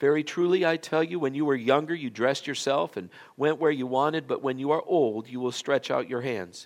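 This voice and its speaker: In a very clean recording with a silent background, a man speaks in an ordinary speaking voice at a medium pitch and a moderate pace, his intonation lively. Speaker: pastor. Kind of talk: sermon. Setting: church.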